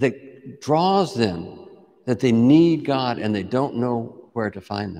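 Over a quiet background, a man speaks very slowly, his pitch swinging very widely. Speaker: priest teaching a class. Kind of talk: lecture. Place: church.

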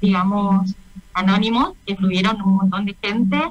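In a flat monotone, a woman with a medium pitch speaks at a moderate pace, sounding somewhat breathy. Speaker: covid survivor. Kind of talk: testimony. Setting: radio interview. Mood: emotional, reflective recounting.

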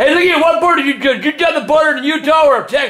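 With strong room echo around him, a man talks fast at an extremely high pitch, his tone bright and sharp and his intonation lively.

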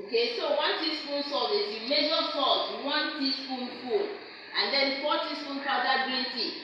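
Speech at a moderate pace comes through strong room echo and noticeable background noise. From Nigeria. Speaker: ESL teacher. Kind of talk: classroom lesson. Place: classroom.

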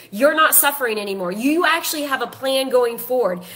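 Her tone is animated, with lively intonation. This woman talks at a moderate pace. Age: 40s. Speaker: life coach and author. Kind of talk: casual social media live video.

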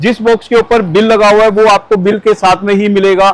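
Over light background noise, a man speaks at a moderate pace in a high pitch. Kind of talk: promotional walkthrough talk. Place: factory.

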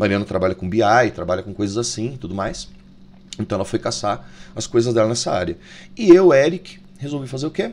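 A man speaks at a fairly quick pace in a medium pitch. His intonation is lively. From Brazil. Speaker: YouTuber, tarot reader and video editor; YouTuber, tarot reader. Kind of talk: casual vlog monologue. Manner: informal, animated. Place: home room. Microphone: studio mic.

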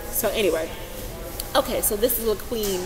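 Against noticeable background noise, a woman with an American accent speaks at a moderate pace. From Texas. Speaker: vlogger and healthcare worker; vlogger. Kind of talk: vlog commentary. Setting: outdoors on a university campus. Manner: halting. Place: hall. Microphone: webcam.

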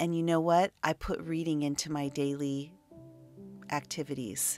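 With music in the background, a woman with a very deep, low pitch talks at a moderate pace, showing ordinary pitch variation. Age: 50s. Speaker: spiritual teacher. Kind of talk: casual chat.

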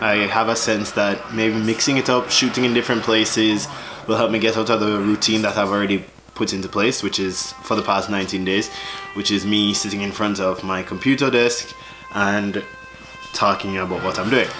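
Clear music plays behind a man with a Jamaican accent. He talks at a fairly quick pace with a fairly low pitch. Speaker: vlogger. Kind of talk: casual talk to camera. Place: home room. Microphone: phone near.

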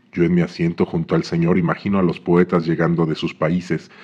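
This man's voice is very deep and low, with monotone, flat intonation. He speaks at a fairly quick pace in a calm, deadpan tone. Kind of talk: literary poetry reading, read aloud from a book. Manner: measured, calm, deadpan delivery with pauses.

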